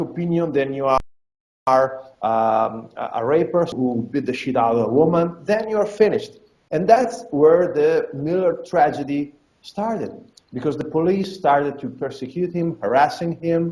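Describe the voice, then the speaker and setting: A high-pitched man speaks with lively intonation. His tone is dark and mellow. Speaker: fight promotion owner. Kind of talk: interview. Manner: halting, many repetitions and fillers; animated.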